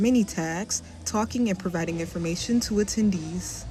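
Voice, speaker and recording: A woman talks at a fairly quick pace, somewhat breathy, with a dark, mellow tone. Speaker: student news reporter. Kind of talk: TV news report.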